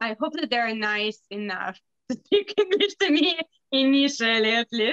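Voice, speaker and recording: A woman speaks with a Russian accent at a fairly slow pace, her pitch high. Her pitch swings very widely, and the sound is dry and close with no echo. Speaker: bookbinder's wife. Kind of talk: casual chat.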